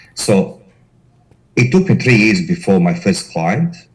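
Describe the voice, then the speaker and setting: This man talks at a fairly slow pace with a Croatian accent, his pitch swinging very widely. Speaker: corporate investigator, company director. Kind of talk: interview.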